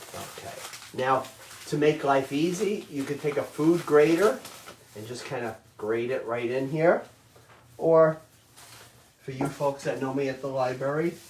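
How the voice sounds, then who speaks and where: This man's voice sits fairly high in pitch, with ordinary pitch variation. He speaks at a fairly slow pace. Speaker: chef teaching a cooking class. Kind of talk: cooking tutorial. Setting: virtual class from home. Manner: loud.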